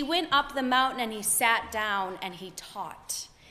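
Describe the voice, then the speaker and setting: A woman speaks in a raised, projected voice with a bright, sharp tone. She goes at a very slow pace with lively intonation. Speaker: pastor. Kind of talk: sermon delivered to a congregation.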